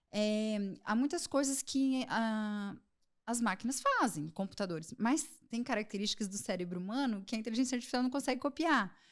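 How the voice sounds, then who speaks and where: With lively intonation, a woman speaks at a fairly high pitch and a moderate pace. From Brazil, Londrina, Paraná. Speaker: psychiatrist. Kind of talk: podcast interview.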